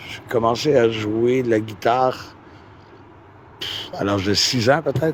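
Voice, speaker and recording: A man at a medium pitch talks at a very slow pace with long, frequent pauses, ordinary pitch variation and big swings in loudness. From Quebec. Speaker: musician. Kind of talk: interview. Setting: outdoors by a river. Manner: hesitant, many fillers.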